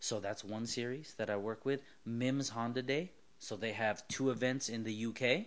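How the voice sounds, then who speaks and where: With a Californian accent, a man speaks at medium pitch with ordinary pitch variation. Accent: Californian American. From Southern California. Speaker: car builder and automotive writer. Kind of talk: casual interview.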